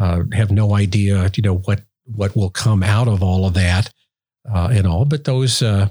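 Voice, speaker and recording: This man has a fairly low pitch. His tone is dark and mellow and somewhat breathy. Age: 60s. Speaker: road safety campaign founder and podcast host. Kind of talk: interview conversation. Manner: halting, many fillers.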